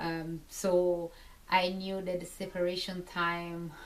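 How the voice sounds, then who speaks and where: A woman with an Italian accent, fairly low in pitch, in a monotone, flat intonation. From Italy, Naples. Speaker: military spouse. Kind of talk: personal testimony. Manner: halting, many fillers.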